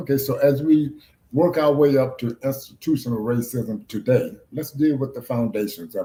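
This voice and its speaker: This man has a fairly high pitch, a dark, mellow tone and a somewhat breathy sound, with an American accent. He talks at a moderate pace with ordinary pitch variation and big swings in loudness. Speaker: interviewer. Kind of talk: interview.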